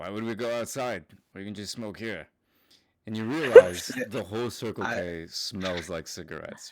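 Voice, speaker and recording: A man puts on a raspy character voice at a fairly low pitch and a moderate pace, on a very clean recording with a silent background. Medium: actual play. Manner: blunt, gruff.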